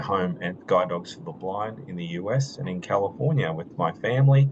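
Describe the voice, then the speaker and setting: Speaking fairly slowly in an Australian accent, the voice carries lively intonation. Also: man. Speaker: orientation and mobility instructor. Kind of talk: video call presentation. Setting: video call.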